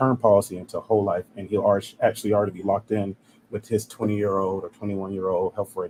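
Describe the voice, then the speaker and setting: In an American accent, a man with a fairly low pitch speaks at a very fast pace in a monotone, flat intonation, the sound dry and close with no echo. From South Carolina. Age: 20s. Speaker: life insurance agent. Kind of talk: interview. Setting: live stream.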